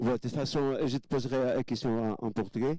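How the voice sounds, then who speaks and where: A man with a dark, mellow tone at a fairly quick pace, on a very clean recording with a silent background. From Portugal. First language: Portuguese (speaking French). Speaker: audience member, radio host. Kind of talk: audience question.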